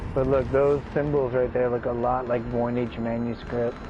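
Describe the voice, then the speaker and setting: A soft-spoken man talks in a medium pitch, fairly slowly, with monotone, flat intonation. Music plays in the background, and audible room echo is present. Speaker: gaming streamer. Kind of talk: live gameplay commentary.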